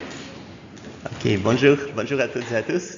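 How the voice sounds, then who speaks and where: A man with a slight Russian accent and fairly even intonation is heard through noticeable background noise and audible room echo. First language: Russian (speaking French). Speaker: university lecturer. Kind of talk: lecture. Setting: lecture hall with students. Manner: halting, frequent hesitations.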